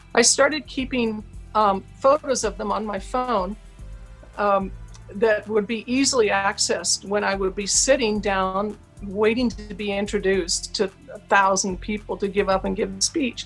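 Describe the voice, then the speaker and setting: Music plays in the background as a woman talks with an American accent. Her pitch varies in an ordinary way. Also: medium pitch for a woman, moderate pace. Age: 60s. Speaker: author and public speaker. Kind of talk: interview. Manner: animated.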